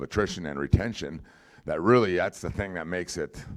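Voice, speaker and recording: A man talks at a fairly quick pace on a very clean recording with a silent background. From North Dakota. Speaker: football coach. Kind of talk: press conference remarks. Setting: media day event with audience.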